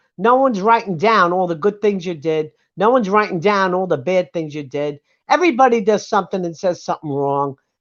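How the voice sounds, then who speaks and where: A woman speaks in a New York accent at a fairly quick pace, with a medium pitch. Her pitch swings very widely against a quiet background. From US Northeast, Brooklyn, New York. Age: 70s. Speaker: livestream panelist. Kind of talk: casual chat. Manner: animated.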